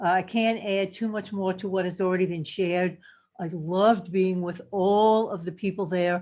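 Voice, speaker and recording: A woman talks at a medium pitch in a dark, mellow tone. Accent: New York. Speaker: health coach. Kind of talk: casual testimony. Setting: video call. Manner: halting, many fillers.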